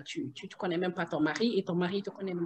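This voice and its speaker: Her pitch is medium, and the woman's pitch varies in an ordinary way. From Guinea. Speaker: mother. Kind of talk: interview answer. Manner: hesitant, many fillers.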